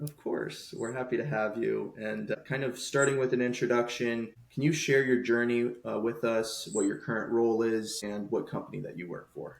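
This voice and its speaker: This man has an unremarkable speaking voice, keeping a moderate pace, medium pitch and fairly even intonation with hardly any pauses. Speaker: podcast host. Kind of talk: podcast interview questions.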